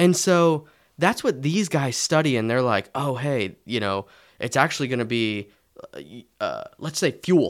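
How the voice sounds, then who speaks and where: An unremarkable speaking voice with lively intonation at a fairly slow pace, in a very clean recording with a silent background. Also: man, fairly high pitch for a man. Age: 20s. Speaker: tax and personal finance expert. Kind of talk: casual chat.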